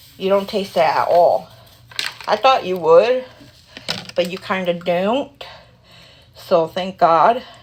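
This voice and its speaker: Speaking at a fairly slow pace, a woman uses a medium pitch and ordinary pitch variation over noticeable background noise. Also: long, frequent pauses. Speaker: vlogger. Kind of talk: casual chat. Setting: at home at night, 3am. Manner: rambling, informal.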